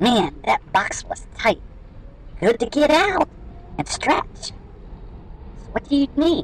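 A squeaky, high-pitched put-on character voice speaks at a fairly slow pace with long, frequent pauses. Clear background noise is present. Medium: read story.

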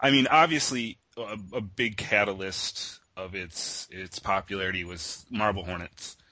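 In an ordinary speaking voice, a man talks at a fairly slow pace with hardly any pauses, ordinary pitch variation and big swings in loudness. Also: fairly low pitch for a man. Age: 30s. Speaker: internet artist, creator of a horror meme. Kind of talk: casual interview.

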